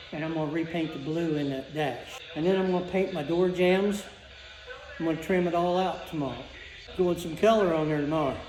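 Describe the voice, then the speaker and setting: Fairly even intonation at a fairly quick pace, with music in the background. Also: man, high pitch for a man. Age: 80s+. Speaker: hobby car restorer. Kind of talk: casual interview answer in garage.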